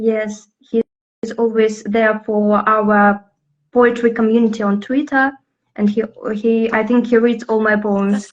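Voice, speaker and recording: With a Russian accent, a woman speaks at a fairly slow pace and a fairly high pitch in a monotone, flat intonation. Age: 20s. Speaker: poet and lyricist. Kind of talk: interview. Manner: halting, many fillers.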